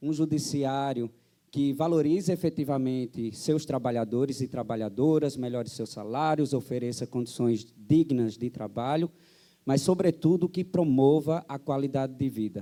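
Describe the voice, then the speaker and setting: This man has a fairly high pitch and ordinary pitch variation. His tone is dark and mellow. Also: moderate pace. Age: 30s. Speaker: union health coordinator, panel moderator. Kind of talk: panel talk at seminar. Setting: stage with audience.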